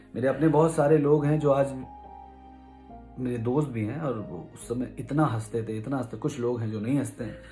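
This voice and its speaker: Music plays in the background while a man speaks at a medium pitch. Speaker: vlogger. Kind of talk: personal story told to camera.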